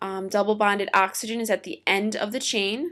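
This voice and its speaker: Speaking at a fairly quick pace, a woman uses an ordinary speaking voice on a very clean recording with a silent background. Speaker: teacher. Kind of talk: lecture.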